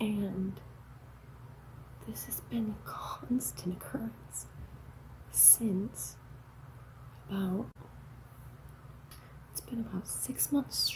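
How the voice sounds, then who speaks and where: A soft-spoken woman at a very slow pace, with long, frequent pauses and big swings in loudness. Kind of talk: casual talk to camera.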